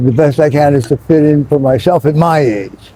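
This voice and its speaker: This is a man speaking with an American accent. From Philadelphia, US. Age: 60s. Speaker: Navy veteran living on the street. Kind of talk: street interview. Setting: outdoors. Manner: halting, full of fillers.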